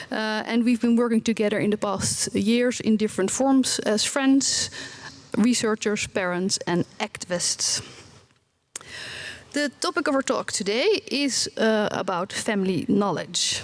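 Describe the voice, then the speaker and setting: A woman speaks with a Dutch accent. Her pitch varies in an ordinary way. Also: fairly high pitch for a woman, fairly slow pace. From Netherlands. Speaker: researcher and parent. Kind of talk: conference presentation. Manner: halting, many fillers.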